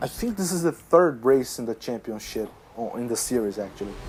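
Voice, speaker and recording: Someone speaks with a non-native accent over music in the background. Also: man. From Brazil. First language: Portuguese. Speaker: gaming youtuber. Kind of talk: gameplay commentary. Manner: halting.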